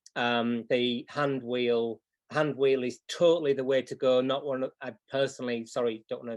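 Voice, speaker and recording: A man with a Yorkshire accent and a medium pitch, against a quiet background. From Yorkshire, northern England. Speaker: clock repair teacher. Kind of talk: live tutorial demo. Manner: hesitant, many fillers.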